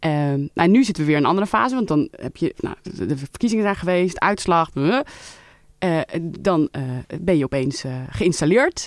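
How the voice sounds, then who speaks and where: Using a normal speaking voice, a woman talks at a moderate pace with lively intonation and a fairly low pitch. The recording is very clean with a silent background, and the sound is dry and close with no echo. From Netherlands, Leiden. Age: 30s. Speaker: member of parliament. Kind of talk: interview. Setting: studio.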